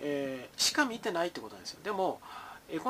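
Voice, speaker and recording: Very fast and high-pitched, a man talks in a bright, sharp tone. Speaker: market commentator. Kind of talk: solo commentary. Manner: casual, with many fillers.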